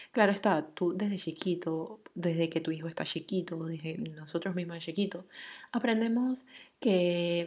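At a fairly slow pace, the voice comes through in a very clean recording with a silent background. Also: woman. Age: 30s. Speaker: podcast host. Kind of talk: solo monologue. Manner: casual, many filler words.

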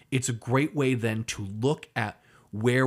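The recording is very clean, with a silent background. A man speaks at a fairly slow pace with ordinary pitch variation. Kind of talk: casual podcast chat with a comedic, sweary rant. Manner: animated, rant-like, punchline-driven.

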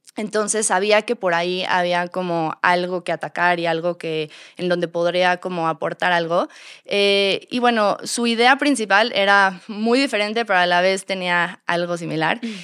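In a very clean recording with a silent background, a woman with a plain, everyday voice talks at a moderate pace, her medium pitch showing ordinary variation. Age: 30s. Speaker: store co-founder and marketing director. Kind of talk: interview.

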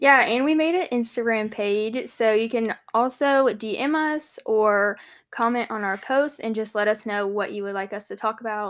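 In an ordinary speaking voice, a woman with a fairly high pitch talks at a moderate pace with hardly any pauses, in a very clean recording with a silent background. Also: ordinary pitch variation. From South Carolina, Charleston area. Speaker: podcast co-host, graduate student. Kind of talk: casual chat.

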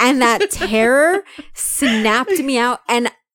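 The woman speaks at a high pitch with lively intonation. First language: Spanish. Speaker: podcast host. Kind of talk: casual chat.

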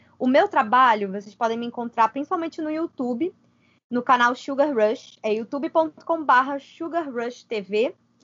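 A woman speaks at a moderate pace in a high pitch, her pitch varying in an ordinary way. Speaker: podcast co-host and YouTuber. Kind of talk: casual chat.

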